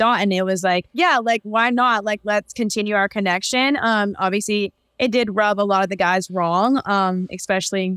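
A woman speaks at a moderate pace with fairly even intonation and very even loudness, her voice dry with no echo over a quiet background. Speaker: podcast guest. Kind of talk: interview answer. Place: home room. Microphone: video call.

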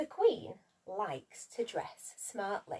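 A woman talks at a slow pace with a medium pitch, a slightly mellow tone, a slightly husky edge and very wide pitch swings.

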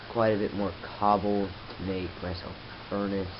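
A man with a fairly low pitch is heard through noticeable background noise. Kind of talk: casual gameplay commentary. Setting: camera microphone.

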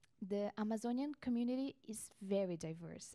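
The tone is dark and mellow, with ordinary pitch variation. The pace is moderate and the background quiet. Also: woman. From Brazil. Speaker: researcher. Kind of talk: panel presentation. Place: meeting room. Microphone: handheld.

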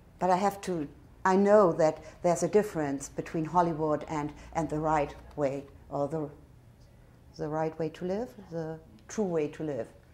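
Speaking at a moderate pace with long, frequent pauses, a woman with a German accent has a very deep, low pitch, ordinary pitch variation and a dark, mellow tone. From northern Germany. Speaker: tourist. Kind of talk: interview answer. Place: home room.

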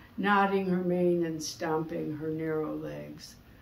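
Audible room echo carries a woman's voice at a fairly slow pace. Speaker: poet. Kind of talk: poetry reading, performed aloud from a written poem. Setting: studio. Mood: calm, contemplative. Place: studio.

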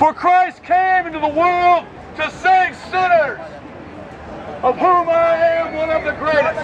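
Over crowd noise in the background, a man with an extremely high pitch speaks at a fairly slow pace in a monotone, flat delivery broken by long, frequent pauses. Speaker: street preacher. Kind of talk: street preaching, evangelizing to passersby. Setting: outdoors, public street. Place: garden.

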